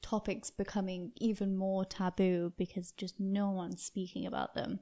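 A woman with a British accent speaks at a medium pitch in a dark, mellow tone. Her delivery is flat and monotone, and the recording is very clean with a silent background. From UK. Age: 20s. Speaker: podcast guest. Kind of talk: casual interview.

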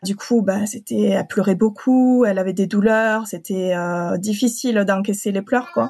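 At a fairly slow pace and with hardly any pauses, a woman of medium pitch speaks with a slight southern French accent and ordinary pitch variation. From southern France (Occitanie). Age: 30s. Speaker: translator. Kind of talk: personal testimony. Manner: hesitant, many fillers.

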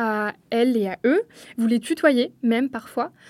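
A woman speaks in a high-pitched voice. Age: 20s. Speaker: radio interviewer. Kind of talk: interview.

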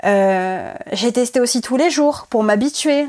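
A woman's unremarkable speaking voice, fairly high in pitch with ordinary pitch variation, on a very clean recording with a silent background. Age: 20s. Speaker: former client giving testimony. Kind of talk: testimony interview.

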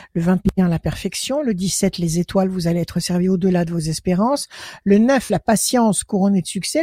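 The voice is somewhat breathy, recorded with a dry, close sound that has no echo. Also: woman. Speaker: tarot reader. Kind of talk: phone-in tarot reading.

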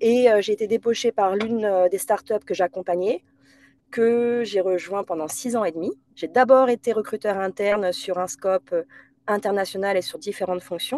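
At a moderate pace, a woman speaks with a dark, mellow tone and ordinary pitch variation. The sound is dry and close, with no echo. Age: 30s. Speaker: HR director. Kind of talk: interview. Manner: hesitant, many fillers.

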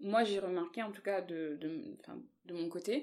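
An ordinary speaking voice with lively intonation at a moderate pace. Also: woman. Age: 20s. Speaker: plus-size model. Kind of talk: casual interview.

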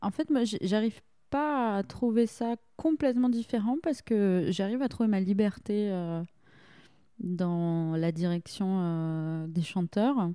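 This woman has a normal speaking voice with lively intonation. The recording is very clean, with a silent background. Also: medium pitch for a woman. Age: 20s. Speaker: theatre and opera director. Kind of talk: casual interview.

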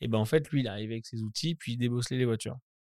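A man speaks at medium pitch with fairly even intonation. The very clean recording has a silent background and a dry, close sound with no echo. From Normandy, France (Caen). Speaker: influencer marketing agency manager. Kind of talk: casual interview.

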